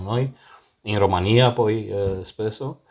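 On a very clean recording with a silent background, a man with a fairly low pitch speaks at a fairly slow pace with fairly even intonation. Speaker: podcast host. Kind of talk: casual chat. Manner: talkative.

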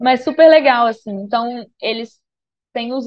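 A woman with a high pitch speaks at a moderate pace, her intonation fairly even. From Brazil, Minas Gerais. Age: 30s. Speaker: travel podcaster, digital nomad. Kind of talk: casual interview chat.

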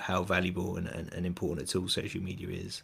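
A man's very deep, low voice, somewhat breathy, at a moderate pace. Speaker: podcast host. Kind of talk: casual chat, livestream interview. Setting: video call livestream.

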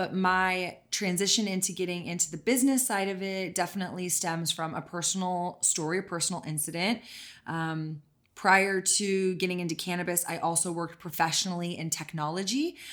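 A woman with an American accent and a plain, everyday voice, medium in pitch, at a fairly quick pace with fairly even intonation, on a very clean recording with a silent background. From Texas. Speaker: CBD company co-founder and podcast host. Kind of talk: casual interview.

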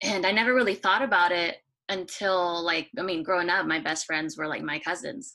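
In a bright, sharp tone, a woman talks at a fairly quick pace. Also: medium pitch for a woman, lively intonation. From United States, Mexican-American family. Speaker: podcast panelist, mother. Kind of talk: casual panel discussion.

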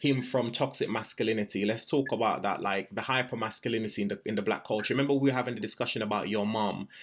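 Very fast speech from a man with medium pitch and fairly even intonation, in a quiet background. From Jamaica. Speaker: podcast host. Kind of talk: casual chat.

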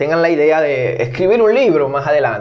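A man speaks at a moderate pace with a fairly high pitch and lively intonation. Room echo is audible. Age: 30s. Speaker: podcast host. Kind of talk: interview conversation.

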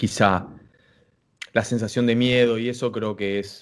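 A man with an unremarkable speaking voice, fairly even intonation and a fairly slow pace. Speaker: podcast host. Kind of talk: casual interview.

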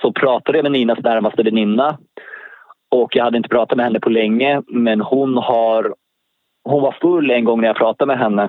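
A man speaks in an ordinary speaking voice at a medium pitch. His intonation is fairly even, and his pace is moderate. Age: 40s. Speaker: convicted murderer. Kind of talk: interview. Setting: phone call.

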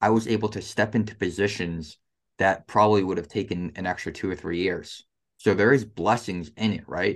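Against a quiet background, a man talks at a fairly quick pace in a normal speaking voice, fairly low in pitch with fairly even intonation. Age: 20s. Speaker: construction contractor. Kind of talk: interview.

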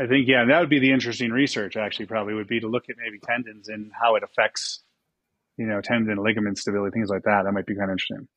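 A man's very fast speech at medium pitch with fairly even intonation, in a dry, close sound with no echo. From Buffalo, New York. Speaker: physical therapist. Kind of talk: casual chat.

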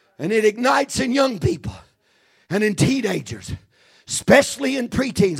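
At a fairly slow pace, a man talks in a high voice with an animated tone. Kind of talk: fervent revival sermon, preaching in full flow with call-and-response. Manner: animated, urgent and exhortative, punctuated with repeated 'Amen' and 'Hallelujah'; impassioned, pleading and authoritative, with a homespun folksy touch.

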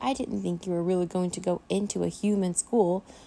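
In a squeaky, put-on character voice, a female-sounding speaker talks at a fairly quick pace with a medium pitch for a woman. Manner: squeaking.

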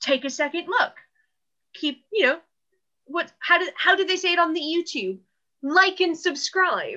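A woman with an American accent speaks in a raised, projected voice at an extremely high pitch, her bright, sharp tone moving at a moderate pace with ordinary pitch variation and long, frequent pauses. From California, US. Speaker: art historian podcast co-host. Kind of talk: casual chat.

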